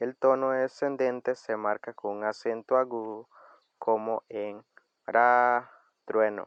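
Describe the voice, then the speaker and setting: A man speaks at a very slow pace, his medium-pitched voice keeping a fairly even intonation. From Costa Rica, Coroma (Bribri territory). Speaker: language and culture video host. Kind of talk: tutorial.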